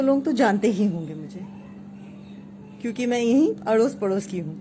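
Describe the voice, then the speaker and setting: Her pitch varies in an ordinary way. The woman's voice sits fairly high. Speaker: English confidence coach. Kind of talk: live stream talk in Hinglish. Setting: Facebook live stream. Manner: hesitant, frequent fillers.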